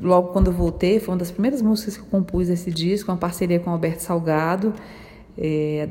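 Fairly low pitch and fairly even intonation in a woman's voice. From Brasília, Brazil. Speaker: singer-songwriter. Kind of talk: interview, commenting on her album. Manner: halting, frequent fillers.

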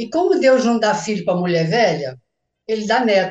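Music plays in the background as a woman speaks. Her fairly high voice moves at a moderate pace. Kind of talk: casual chat.

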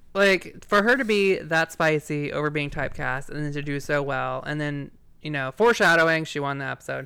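A man with a fairly high pitch and a bright, sharp tone talks at a fairly quick pace with ordinary pitch variation. The recording is very clean, with a silent background. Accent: slight Southern US. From Virginia, US. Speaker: podcast host. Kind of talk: casual banter, podcast recap. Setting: live recording, podcast.

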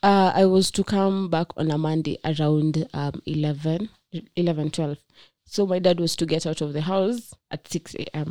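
A woman's fairly low, dark, mellow voice at a moderate pace, with fairly even intonation, on a very clean recording with a silent background. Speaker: friend of the host. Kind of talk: casual chat.

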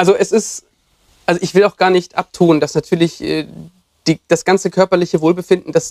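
Fairly even intonation and a fairly quick pace come through in a dry, close sound with no echo. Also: man. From southern Germany, Lake Constance. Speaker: doctor and former physiotherapist. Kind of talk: casual chat.

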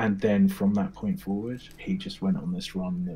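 This speaker is a man with a British accent. He keeps a moderate pace. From England. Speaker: mindset coach. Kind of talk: casual interview chat.

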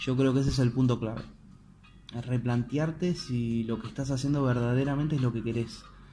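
A man talks fairly quickly at a medium pitch, keeping his intonation fairly even. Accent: Argentine. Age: 20s. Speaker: podcaster. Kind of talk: motivational monologue. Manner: halting, many repetitions.

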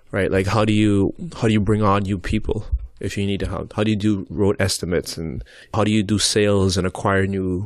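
A man with a plain, everyday voice speaks at a moderate pace, his fairly low pitch held in fairly even intonation. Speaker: podcast host. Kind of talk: casual chat. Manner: joking, playful.

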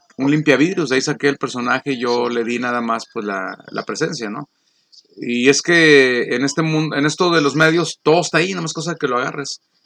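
In a plain, everyday voice, someone talks at a fairly quick pace with ordinary pitch variation. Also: man, fairly high pitch for a man. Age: 50s. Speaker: radio announcer. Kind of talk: casual chat.

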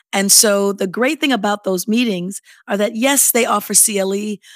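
In a normal speaking voice, a woman talks at a moderate pace with ordinary pitch variation in a very clean recording with a silent background. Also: dry, close sound with no echo. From Chicago. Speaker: nonprofit association CEO. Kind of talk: interview.

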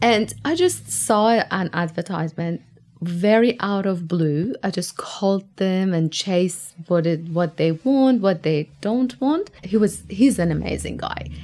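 A woman with a Persian accent speaks at a fairly slow pace, with hardly any pauses. Her pitch is medium, with ordinary variation. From Iran, Tehran. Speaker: immigrant interviewee. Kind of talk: casual interview.

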